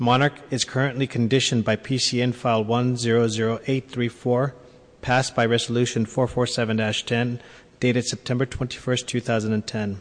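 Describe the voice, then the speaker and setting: At a very slow pace, a man with a medium pitch speaks in a monotone, flat intonation at very even loudness. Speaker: police officer. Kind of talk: formal report. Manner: formal.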